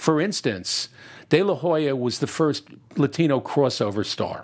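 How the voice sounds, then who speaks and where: A man with an American accent, a normal speaking voice, fairly high pitch, ordinary pitch variation and a fairly slow pace. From New Jersey, US. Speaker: boxing documentary filmmaker. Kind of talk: casual interview chat.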